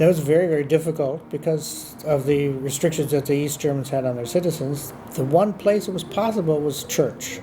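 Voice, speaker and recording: A man with an American accent talks fairly quickly at a fairly high pitch, with hardly any pauses. His pitch varies an ordinary amount, and background noise is noticeable. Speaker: former diplomat. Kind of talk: interview answer.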